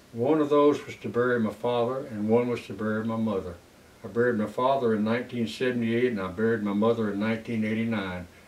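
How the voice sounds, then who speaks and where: A man with a South Carolina accent talks at a very fast pace and medium pitch with fairly even intonation, amid noticeable background noise and audible room echo. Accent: Southern US (South Carolina). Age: 80s+. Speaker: war veteran. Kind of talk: oral history interview. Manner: halting.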